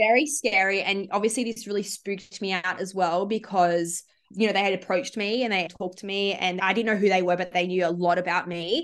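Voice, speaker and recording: A woman with an Australian accent speaks at a fairly quick pace with hardly any pauses. Her medium-pitched voice shows ordinary pitch variation. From Sydney, Australia. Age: 20s. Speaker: psychology student and social enterprise founder. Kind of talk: casual interview.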